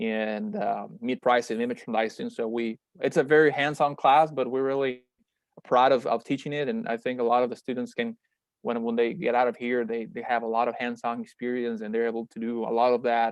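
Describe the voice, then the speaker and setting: Speaking fairly quickly, a man holds a medium pitch with fairly even intonation. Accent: Spanish. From Mexico, Monterrey. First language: Spanish. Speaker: meat science researcher and startup founder. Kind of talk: webinar presentation. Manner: halting, many fillers and repetitions.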